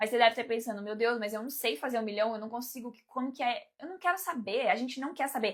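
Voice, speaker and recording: A woman's fairly high voice with a Brazilian accent, ordinary pitch variation, and a very clean recording over a silent background. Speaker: life coach and mentor. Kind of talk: live stream talk to viewers. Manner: fast; animated.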